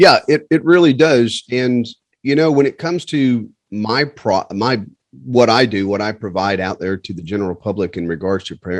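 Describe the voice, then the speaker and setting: With a Southern US accent, a man of medium pitch talks at a moderate pace with lively intonation, the sound dry and close with no echo. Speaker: flight instructor course host. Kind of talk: casual interview.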